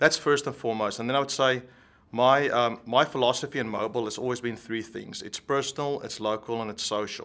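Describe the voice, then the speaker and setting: With a South African accent, a man talks at a fairly quick pace and medium pitch, his tone bright and sharp and his intonation fairly even. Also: very clean recording, silent background. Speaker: tech executive. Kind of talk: interview.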